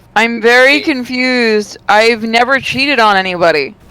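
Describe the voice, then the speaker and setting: Fairly high-pitched woman's voice amid noticeable background noise. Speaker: streamer. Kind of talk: casual chat.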